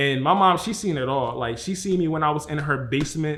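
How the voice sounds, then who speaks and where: A man speaks at a fairly high pitch with fairly even intonation. His pace is fairly quick, and there is noticeable background noise. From Philadelphia, US. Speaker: vlogger. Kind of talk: personal vlog monologue. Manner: fast.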